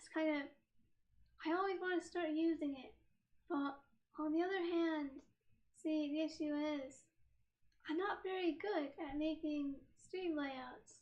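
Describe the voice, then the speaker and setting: A woman's extremely high pitch, fairly even intonation and big swings in loudness, at a fairly slow pace with long, frequent pauses. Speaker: streamer. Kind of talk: casual chat. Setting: live stream with laptop camera.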